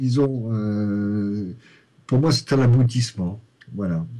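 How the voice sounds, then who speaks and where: This man has a fairly low pitch and a dark, mellow tone. He talks at a very slow pace. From Lorraine, France. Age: 50s. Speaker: novelist and primary school headteacher. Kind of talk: interview. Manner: halting, many repetitions and fillers.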